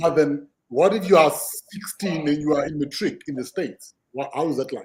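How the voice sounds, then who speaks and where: Somewhat breathy, a man speaks at a fairly quick pace and fairly high pitch, with ordinary pitch variation. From South Africa. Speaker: podcast host. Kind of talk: podcast conversation.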